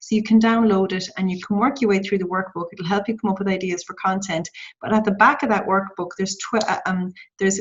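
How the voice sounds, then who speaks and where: Talking at a very fast pace, a woman keeps a medium pitch and fairly even intonation. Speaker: social media trainer. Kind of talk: tutorial. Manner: halting.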